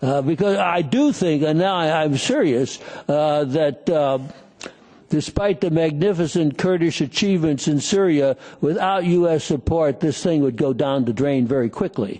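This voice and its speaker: A man with an American accent, fairly high pitch, ordinary pitch variation, very even loudness and a dark, mellow tone. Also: moderate pace. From United States. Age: 70s. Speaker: conference speaker. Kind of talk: panel Q&A answer. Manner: halting, many fillers and repetitions.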